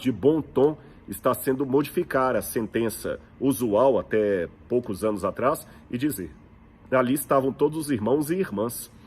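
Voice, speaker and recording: A man speaks with a Brazilian accent and lively intonation. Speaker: preacher and biblical archaeology teacher. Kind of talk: religious teaching talk. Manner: conversational, rhetorical questions.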